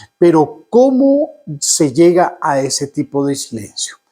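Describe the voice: A man's fairly high, nasal voice with a slightly husky edge, a dark, mellow tone, big pitch swings and a slow pace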